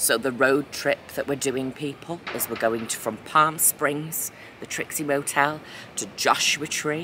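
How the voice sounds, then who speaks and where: A woman whispers at a moderate pace. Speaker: vlogger. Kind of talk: casual vlog chat. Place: street. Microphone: phone near.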